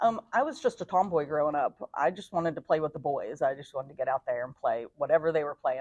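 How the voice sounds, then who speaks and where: A woman with an American accent talks at a very fast pace, recorded dry and close with no echo. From northern West Virginia, Fairmont. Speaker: gym member and amateur athlete. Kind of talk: interview.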